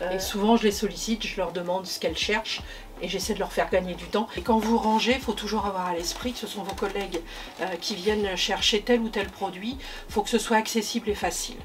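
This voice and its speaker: At a fairly quick pace, a woman talks with medium pitch and fairly even intonation over noticeable background noise. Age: 60s. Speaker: hospital logistics worker, former nursing assistant. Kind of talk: workplace testimony interview. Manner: hesitant, many fillers.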